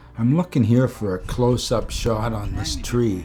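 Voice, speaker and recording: Music plays in the background while a man speaks. His pitch is medium and his pace moderate. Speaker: photography vlogger. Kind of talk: casual tutorial narration. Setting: outdoors.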